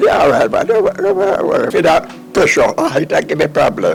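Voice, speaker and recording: A man talks at a moderate pace with a Jamaican accent. Music plays in the background. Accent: Jamaican Patois. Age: 80s+. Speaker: farmer. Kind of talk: interview answer.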